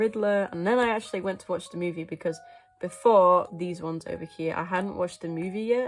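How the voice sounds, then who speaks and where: Over music in the background, a woman speaks in a fairly low pitch. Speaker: artist, animator. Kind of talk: casual talk to camera. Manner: hesitant, many fillers.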